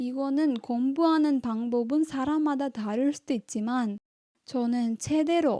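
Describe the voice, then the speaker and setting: In a dry, close sound with no echo, a woman with a Tamil accent speaks at a very slow pace in a high pitch with a dark, mellow tone and ordinary pitch variation. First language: Tamil (speaking Korean). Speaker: language-learning YouTuber. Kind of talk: vlog monologue.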